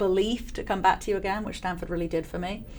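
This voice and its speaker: Room echo is audible as a woman speaks in an English accent. Her pitch is medium and her intonation monotone and flat. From England. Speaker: venture capital investor. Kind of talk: interview.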